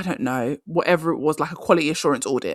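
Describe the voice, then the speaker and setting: A woman's very deep, low voice with an animated tone and ordinary pitch variation, dry and close with no echo. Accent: English. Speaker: career coach podcast host. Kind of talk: solo podcast advice talk. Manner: fast.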